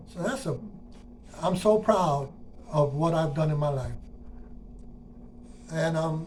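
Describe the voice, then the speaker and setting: This man's voice sits fairly high in pitch. He leaves long, frequent pauses, and the room echo is audible. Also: ordinary pitch variation, fairly slow pace. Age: 60s. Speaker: retired transit worker. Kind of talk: personal monologue. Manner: casual, conversational.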